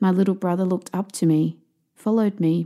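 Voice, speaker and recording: A woman in an Australian accent with a dark, mellow tone and monotone, flat intonation at a moderate pace. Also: very clean recording, silent background. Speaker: author and podcast host. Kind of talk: audiobook reading.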